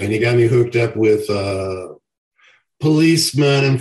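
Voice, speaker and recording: Somewhat breathy, the voice has ordinary pitch variation. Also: man. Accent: Southern US. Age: 60s. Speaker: professional wrestler. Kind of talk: casual interview.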